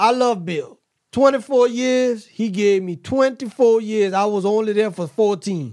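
His pitch is high for a man, with ordinary variation. He speaks at a fairly slow pace. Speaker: podcast co-host. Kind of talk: casual banter.

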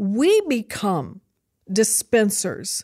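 Someone with an American accent is heard in a very clean recording with a silent background and a dry, close sound with no echo. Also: woman. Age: 60s. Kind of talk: testimony. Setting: studio.

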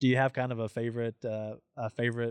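In a Southern US accent, a man speaks at medium pitch, the sound dry and close with no echo. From Tennessee. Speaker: podcast host and hunting program manager. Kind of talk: casual interview. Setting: on location at an outdoor event.

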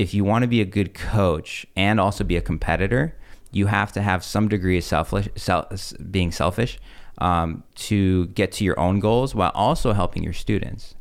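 On a very clean recording with a silent background, a man with a plain, everyday voice speaks at a moderate pace, with a fairly low pitch and ordinary pitch variation. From Russia, moved to US. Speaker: jiu-jitsu gym owner and coach. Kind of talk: casual interview.

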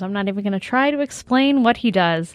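In a plain, everyday voice, a woman talks at a fairly quick pace with lively intonation, and the sound is dry and close with no echo. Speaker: co-host. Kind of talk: casual chat. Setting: studio.

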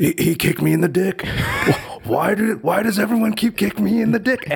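Using a put-on character voice, a man speaks high for a man. His pace is moderate. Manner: indignant, complaining.

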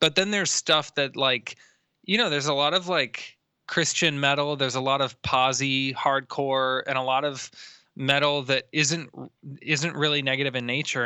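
This man has a fairly high pitch and an American accent. He talks at a moderate pace. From Florida (Tampa). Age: 20s. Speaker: metal vocalist. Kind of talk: interview conversation. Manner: animated.

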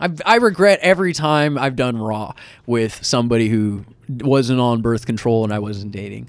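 A man with an American accent, medium pitch, lively intonation and a moderate pace on a very clean recording with a silent background. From US West Coast, Sacramento, California. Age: 20s. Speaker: comedian. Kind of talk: casual chat. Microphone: very close to the mic, clipping.

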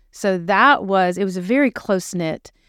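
With ordinary pitch variation and a moderate pace, a plain, everyday voice carries the speech. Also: woman. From Western Pennsylvania (Uniontown, Pittsburgh area). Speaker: pregnancy center director. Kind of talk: casual interview, faith testimony.

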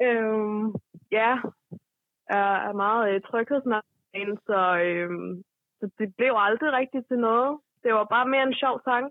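At a very slow pace with long, frequent pauses, the speech shows ordinary pitch variation. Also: woman, fairly high pitch for a woman. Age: 20s. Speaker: caller. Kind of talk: casual chat. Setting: phone call.

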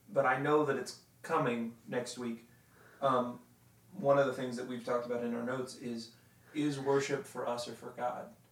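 A man is speaking. Noticeable noise runs in the background. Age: 20s. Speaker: podcast co-host. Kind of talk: casual chat.

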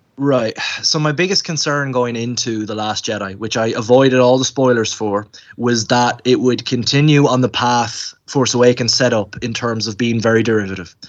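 A man's medium-pitched voice with an Irish accent, fairly even intonation, and a moderate pace. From Ireland. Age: 20s. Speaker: college student and video editor. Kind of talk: casual chat.

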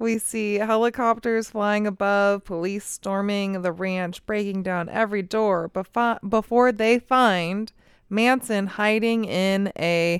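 With an American accent, a woman speaks at a medium pitch and a very slow pace. Her intonation is fairly even, and the sound is dry and close with no echo. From California, Bay Area. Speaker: true crime podcast co-host. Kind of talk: movie recap; casual chat.

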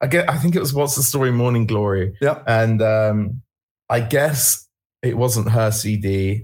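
A man speaks at a fairly slow pace in a somewhat breathy voice. His loudness stays very even, with ordinary pitch variation. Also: medium pitch for a man. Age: 30s. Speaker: rock band singer. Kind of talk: casual interview. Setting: online call.

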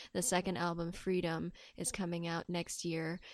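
Here a woman speaks at a fairly slow pace in a fairly low pitch. Her intonation stays monotone and flat. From Hong Kong. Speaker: singer-songwriter and event producer. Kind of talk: interview. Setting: in person, mountain retreat in North Carolina.

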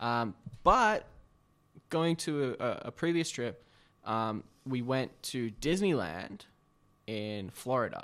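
In a very clean recording with a silent background, a man with an Australian accent and medium pitch speaks at a very slow pace, with long, frequent pauses and very wide pitch swings. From Sydney, northern suburbs. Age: 20s. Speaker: social media creative. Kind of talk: casual chat.

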